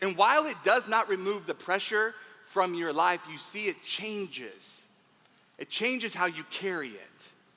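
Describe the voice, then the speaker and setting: A man's high, raised and projected voice in an animated tone at a fairly slow pace. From Texas. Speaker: motivational speaker. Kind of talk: keynote speech.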